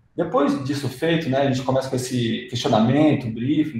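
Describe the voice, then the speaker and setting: A man's fairly high voice with fairly even intonation at a moderate pace, set in audible room echo. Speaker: UX designer presenter. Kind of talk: lecture. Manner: halting, many fillers.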